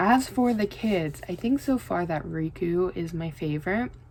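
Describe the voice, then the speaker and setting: In an American accent, a woman with an unremarkable speaking voice talks at a fairly low pitch with lively intonation. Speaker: book vlogger. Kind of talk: casual chat.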